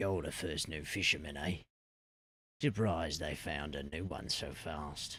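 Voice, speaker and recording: This is a put-on character voice. It sounds raspy. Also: man, very deep, low pitch for a man, moderate pace. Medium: game stream. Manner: downcast, blunt.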